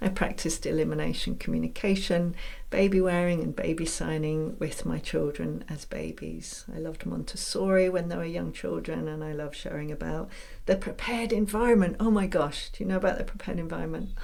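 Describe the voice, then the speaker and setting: In a room with audible echo, a woman with an English accent speaks at a fairly quick pace. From England. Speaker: podcast host and mentor. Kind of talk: casual monologue. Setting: home room.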